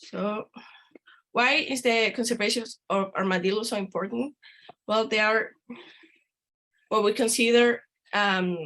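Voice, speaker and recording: The speaker has a Spanish accent and a bright, sharp tone, with fairly even intonation. The pace is fairly slow, with long, frequent pauses. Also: woman, fairly high pitch for a woman. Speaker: veterinarian and conservationist. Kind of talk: lecture.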